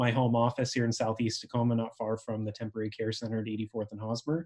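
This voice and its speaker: At a fairly quick pace, a man speaks in a dark, mellow tone over a quiet background. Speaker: local official hosting meeting. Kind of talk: meeting host introduction. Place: home room. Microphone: webcam.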